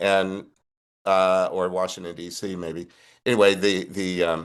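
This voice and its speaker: A man with a Texan accent and a very deep, low pitch, monotone and flat, at a fairly slow pace, with big swings in loudness over a quiet background. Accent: Texan American. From Southeast Texas, Port Arthur area. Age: 60s. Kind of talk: interview conversation.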